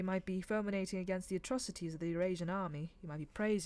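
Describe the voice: The clip consists of plain reading aloud.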